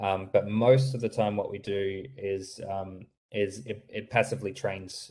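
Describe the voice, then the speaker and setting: A man with an American accent speaks at a fairly low pitch, somewhat breathy, with fairly even intonation. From Australia. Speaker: startup founder presenting voice software. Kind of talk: webinar Q&A answer. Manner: halting, many fillers and repetitions.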